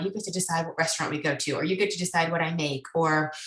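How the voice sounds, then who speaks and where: A woman's voice over noticeable background noise. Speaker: psychologist. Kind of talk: lecture. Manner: fast.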